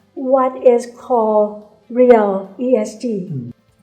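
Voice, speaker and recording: Soft-spoken and fairly high in pitch, a woman talks over noticeable background noise. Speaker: bank CEO. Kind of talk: interview answer.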